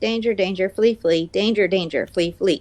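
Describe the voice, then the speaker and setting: The pace stays moderate. The voice is a put-on character voice, pitched in the middle. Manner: urgent, alarmed, warning.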